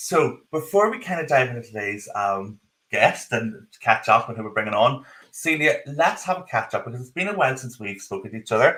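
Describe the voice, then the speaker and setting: A man with a strong Northern Irish accent speaks at medium pitch and a fairly quick pace, his bright, sharp tone marked by very wide pitch swings and big swings in loudness. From Northern Ireland. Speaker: podcast co-host. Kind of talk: live podcast chat. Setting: video call live stream, in his office.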